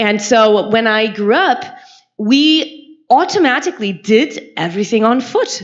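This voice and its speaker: Her pitch fairly high and swinging very widely, a woman speaks in a German accent with an animated tone. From Germany. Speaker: university health lecturer. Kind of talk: conference talk.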